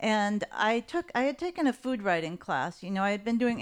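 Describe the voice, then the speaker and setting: This woman has an American accent and an unremarkable speaking voice at a medium pitch. She talks at a moderate pace on a very clean recording with a silent background. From Los Angeles. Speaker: journalist. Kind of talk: casual chat. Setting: in an apartment.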